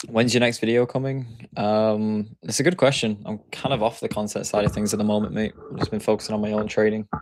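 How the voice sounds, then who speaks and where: A fairly low-pitched man's voice, fairly quick and nearly pauseless, with fairly even intonation over noticeable background noise. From Yorkshire, northern England. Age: 20s. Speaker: day trader. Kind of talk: live stream chat. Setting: live stream. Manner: casual, hesitant fillers.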